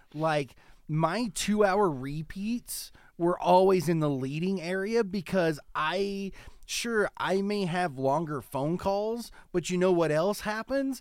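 A man speaks loudly at a high pitch. His pace is very slow. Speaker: podcast co-host. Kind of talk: casual chat.

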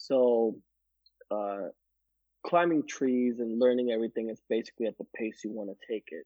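Here a man with an ordinary speaking voice talks at medium pitch and a moderate pace. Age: 30s. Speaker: landscaping crew leader. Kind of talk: casual chat. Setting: at home.

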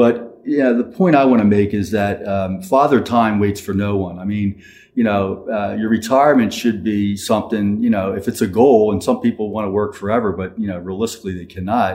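With a plain, everyday voice, a man talks at a fairly quick pace and fairly low pitch, hardly pausing and keeping his intonation fairly even. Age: 60s. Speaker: financial planner. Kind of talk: casual chat.

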